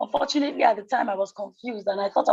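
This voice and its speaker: A woman speaks at a fairly quick pace with vocal fry. Her pitch is medium, with ordinary variation. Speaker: playwright contest entrant. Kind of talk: formal meeting. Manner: polite, formal.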